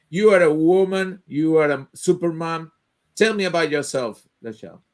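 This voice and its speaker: With a Spanish accent, a man talks at a moderate pace in a high voice, with ordinary pitch variation. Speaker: live show host. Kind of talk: online interview. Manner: halting.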